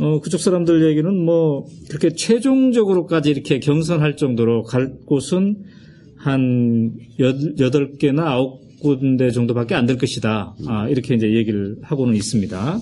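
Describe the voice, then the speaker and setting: A man's fairly high, dark, mellow voice, fairly slow and lively in intonation, at very even loudness. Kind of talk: interview.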